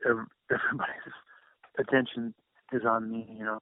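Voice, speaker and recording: Quietly and at a fairly slow pace, a man talks in a medium-pitched, flat monotone. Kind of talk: interview answer. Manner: quiet, hesitant.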